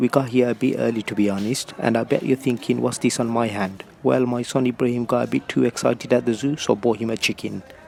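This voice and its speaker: Amid noticeable background noise, a man at medium pitch speaks at a fairly quick pace with fairly even intonation. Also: hardly any pauses. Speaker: travel vlogger. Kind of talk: vlog narration.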